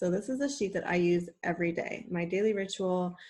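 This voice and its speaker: This woman's voice comes through somewhat breathy. She keeps a moderate pace. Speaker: online coach and school psychologist. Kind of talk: live webinar presentation. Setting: live video call with screen share.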